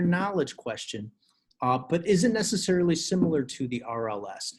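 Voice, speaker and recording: Against a quiet background, a somewhat breathy man talks at a fairly quick pace with lively intonation. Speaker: teacher. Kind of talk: tutorial. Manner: fast. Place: home room. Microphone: webcam.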